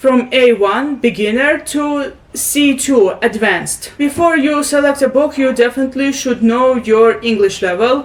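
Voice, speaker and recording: Against noticeable background noise, a woman with a Russian accent speaks at a fairly slow pace in a high pitch, with ordinary pitch variation. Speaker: booktuber. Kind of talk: tutorial. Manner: halting.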